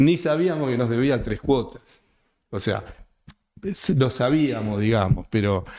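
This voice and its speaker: Using a dark, mellow tone at medium pitch, a man talks at a fairly slow pace with lively intonation and long, frequent pauses. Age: 70s. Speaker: real estate developer. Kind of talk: interview conversation. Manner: halting, many fillers.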